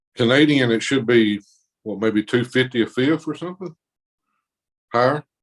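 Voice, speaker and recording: In a strong Southern US accent, a man speaks at a moderate pace with ordinary pitch variation and long, frequent pauses. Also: medium pitch for a man. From Mississippi, US South. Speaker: arm wrestler. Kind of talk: casual chat.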